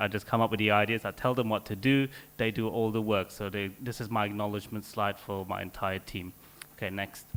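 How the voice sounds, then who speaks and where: A man at medium pitch at a fairly quick pace, on a very clean recording with a silent background. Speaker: scientist. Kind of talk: conference talk. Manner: fast.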